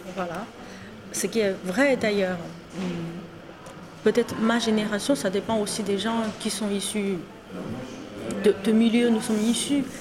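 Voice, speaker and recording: Over noticeable background noise, a woman with a Chinese accent speaks at a very slow pace and a medium pitch, with ordinary pitch variation and long, frequent pauses. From China. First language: Chinese (speaking French). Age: 40s. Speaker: guest. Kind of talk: casual chat. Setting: in person. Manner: hesitant, with fillers.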